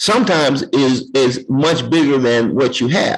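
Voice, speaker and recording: Ordinary pitch variation amid noticeable background noise. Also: man. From Gary, Indiana. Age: 60s. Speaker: interview host. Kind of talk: interview.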